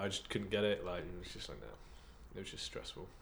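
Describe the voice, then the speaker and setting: This is a man speaking with an English accent. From England. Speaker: podcast co-host.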